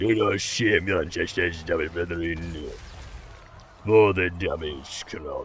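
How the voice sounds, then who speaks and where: A man puts on a character voice with a very deep, low pitch at a fairly slow pace. Background noise is clearly audible. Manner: gruff, archaic.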